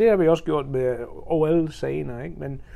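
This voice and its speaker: With an English accent, a man speaks in a fairly high pitch, his dark, mellow tone carried by lively intonation. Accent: English accent in Danish. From England, Birmingham and Oxford. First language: English (speaking Danish). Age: 40s. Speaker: amateur marathon runner and charity fundraiser. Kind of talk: interview. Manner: halting.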